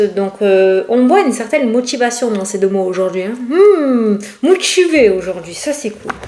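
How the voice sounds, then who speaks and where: Against noticeable background noise, a woman with a fairly high pitch talks at a moderate pace in an animated tone with lively intonation. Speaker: tarot card reader. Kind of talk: casual tarot reading to camera. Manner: chatty, animated.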